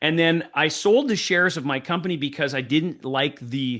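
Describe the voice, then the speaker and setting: Against a quiet background, a man speaks in a bright, sharp tone with ordinary pitch variation. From Canada, Winnipeg (French Canadian). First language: French. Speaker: sales trainer. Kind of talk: podcast interview.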